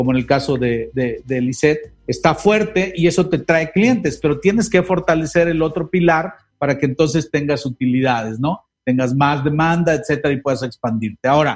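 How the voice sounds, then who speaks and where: With lively intonation and a fairly high pitch, a man speaks at a moderate pace in a plain, everyday voice. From Mexico, Guerrero state. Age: 50s. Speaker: sales expert. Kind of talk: interview on a live-streamed podcast.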